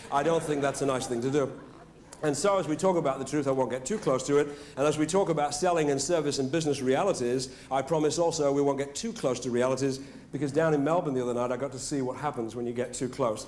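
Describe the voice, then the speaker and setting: A man with a British accent talks at a very fast pace in a fairly high pitch, with ordinary pitch variation and audible room echo. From Britain. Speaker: motivational speaker. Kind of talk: after-dinner speech. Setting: stage with audience. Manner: animated.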